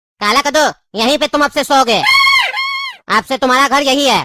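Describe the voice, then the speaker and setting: A female-sounding cartoonish character voice with a high pitch. It moves at a fairly quick pace. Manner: lecturing, bossy.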